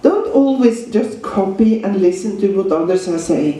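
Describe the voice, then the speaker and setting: Someone speaks with a Norwegian accent over noticeable background noise. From Norway. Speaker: dog trainer and seminar teacher. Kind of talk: lecture.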